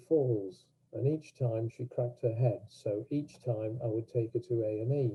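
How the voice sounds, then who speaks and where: Somewhat breathy delivery comes at a moderate speed, its intonation held fairly level. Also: man. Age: 80s+. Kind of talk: personal talk at online event. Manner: halting.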